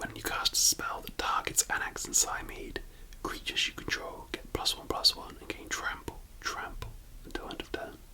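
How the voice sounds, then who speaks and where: The speaker is whispering at a moderate pace. Noticeable background noise can be heard. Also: man. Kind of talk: ASMR card collection commentary. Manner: whispered.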